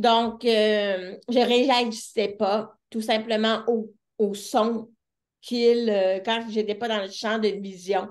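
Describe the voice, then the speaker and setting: The speaker talks at a very slow pace in a Quebec accent. The intonation stays monotone and flat. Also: woman, fairly high pitch for a woman. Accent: Québécois French. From Quebec City, Charlesbourg. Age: 30s. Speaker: deaf entrepreneur and speaker. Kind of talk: interview.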